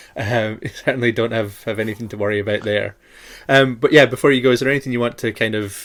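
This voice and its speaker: A man with a Shetland accent, fairly quick pace and fairly even intonation. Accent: Shetland Scottish. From Shetland, Scotland. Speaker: podcast host. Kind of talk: casual chat.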